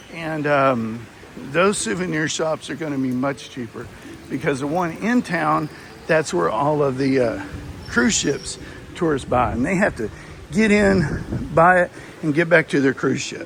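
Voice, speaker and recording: A man with a Texas accent speaks at a fairly slow pace, his fairly high pitch moving with lively intonation. There is noticeable background noise. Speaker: travel vlogger. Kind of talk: casual walkthrough review. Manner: hesitant, many fillers.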